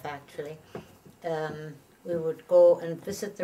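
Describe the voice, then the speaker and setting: With an Irish accent, the speaker talks at a moderate pace against noticeable background noise. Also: woman. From Ireland. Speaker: retired nurse. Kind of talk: interview answer.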